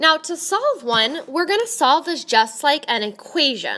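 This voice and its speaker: At a fairly slow pace, a woman speaks in a raised, projected voice. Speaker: math teacher. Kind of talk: tutorial.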